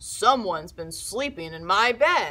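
The delivery is a gruff, put-on character voice with a fairly high pitch. It moves at a fairly slow pace.

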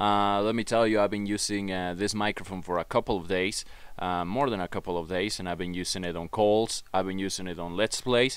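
Here is an unremarkable speaking voice, a man's, with fairly low pitch and fairly even intonation. The sound is dry with no echo. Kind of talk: casual product review. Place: home room. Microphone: studio mic.

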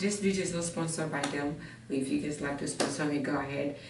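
Over noticeable background noise, a woman talks in a very deep, low pitch. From Africa. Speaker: fitness vlogger. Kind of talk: try-on haul review. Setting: outdoors in a park. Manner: animated. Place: home room. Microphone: camera far.

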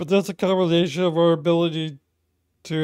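Here a man speaks with a high pitch and fairly even intonation. The background is quiet. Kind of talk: casual vlog chat. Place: home room. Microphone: studio mic.

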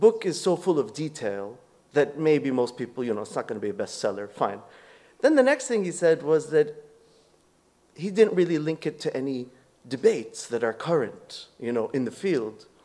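In a dark, mellow tone, a man speaks at a fairly high pitch and a moderate pace with very wide pitch swings. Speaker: former student. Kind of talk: memorial tribute. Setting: memorial event with audience. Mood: warm, reflective. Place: meeting room. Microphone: podium.

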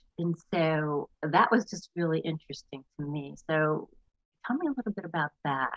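With an American accent, a woman speaks at a fairly low pitch with ordinary pitch variation, the sound dry with no echo and the background quiet. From US East Coast, New Jersey. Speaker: podcast host. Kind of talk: casual interview. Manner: animated. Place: home room. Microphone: studio mic.

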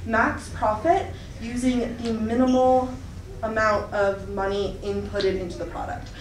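A woman is speaking in a room with audible echo. Light background noise sits underneath. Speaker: presenter. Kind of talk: presentation talk. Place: classroom. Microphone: camera far.

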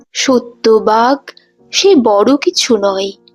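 Lively intonation carries the speech over music in the background. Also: woman. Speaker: poetry reciter. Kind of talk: poetry reading.

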